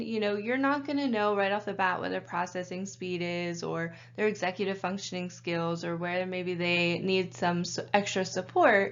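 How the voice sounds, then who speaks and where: A woman speaks at a moderate pace with hardly any pauses and ordinary pitch variation, in audible room echo. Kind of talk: training lecture.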